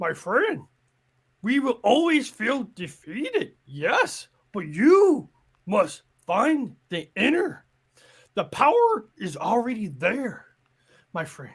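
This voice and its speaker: A man puts on a character voice with an extremely high pitch, very wide pitch swings and big swings in loudness. He speaks at a very slow pace with long, frequent pauses. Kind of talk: playful character impression. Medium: game stream. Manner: slow, sage, inverted word order.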